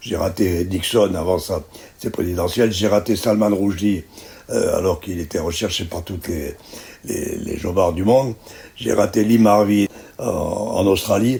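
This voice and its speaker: A fairly low male voice at a fairly slow pace, with ordinary pitch variation and noticeable background noise. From Algeria. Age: 90s. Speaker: veteran journalist. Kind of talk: interview. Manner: halting.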